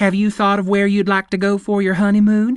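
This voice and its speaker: Doing a put-on character voice, a man talks high and fairly quickly in a flat monotone at very even loudness, the sound dry and close with no echo over a quiet background. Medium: read story. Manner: brisk, enthusiastic.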